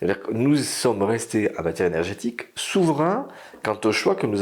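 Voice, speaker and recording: Here is a man with an unremarkable speaking voice at a medium pitch. He keeps a moderate pace and lively intonation. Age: 60s. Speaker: energy consultant. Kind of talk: interview.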